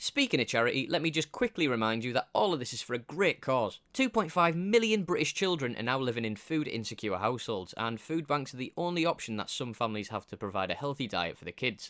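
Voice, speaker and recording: Dry and close with no echo, a man with a Teesside accent speaks very fast at a medium pitch, with very wide pitch swings and hardly any pauses. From northeast England, Middlesbrough. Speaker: cycling vlogger. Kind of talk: scripted narration. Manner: casual, humorous.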